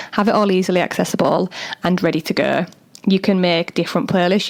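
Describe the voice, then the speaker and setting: Noticeable background noise sits behind a woman speaking at a very fast pace. Her medium-pitched voice stays monotone and flat. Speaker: doula and podcast host. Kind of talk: solo podcast talk. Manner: casual, chatty.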